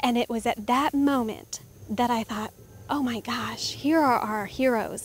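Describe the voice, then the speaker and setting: Fairly even intonation in a dry recording without echo. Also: woman. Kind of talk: interview answer. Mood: earnest, heartfelt. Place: open country. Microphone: handheld.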